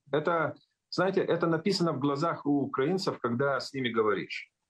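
A man talks fairly quickly with ordinary pitch variation, the background quiet. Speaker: sociologist and communications expert; guest. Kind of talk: live interview. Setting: remote call into live broadcast. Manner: halting, with fillers and repetitions. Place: home room. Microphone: unstable connection, call dropped; video call.

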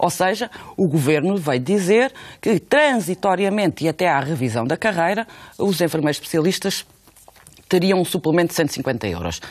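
This woman has a fairly low pitch and talks at a moderate pace. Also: lively intonation. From Portugal. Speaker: union leader. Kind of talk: radio interview. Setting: studio. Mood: serious, firm argumentation. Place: studio.

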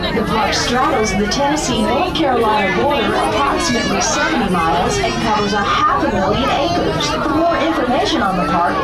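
Music plays in the background as the speaker goes at a fairly quick pace with hardly any pauses. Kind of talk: tour commentary. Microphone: camera far.

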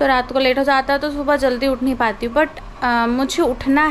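Over light background noise, a woman talks at a high pitch with fairly even intonation. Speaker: home vlogger. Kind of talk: casual vlog chat. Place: home room. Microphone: phone near.

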